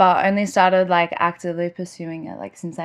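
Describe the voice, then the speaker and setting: In an Australian accent, a woman with a fairly low pitch talks at a fairly quick pace against a quiet background. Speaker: singer. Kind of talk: casual chat.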